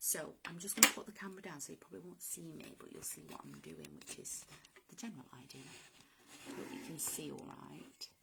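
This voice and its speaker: A woman with a northern English accent, a fairly quick pace and big swings in loudness. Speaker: driftwood artist. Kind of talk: live-stream craft tutorial. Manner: casual, hesitant.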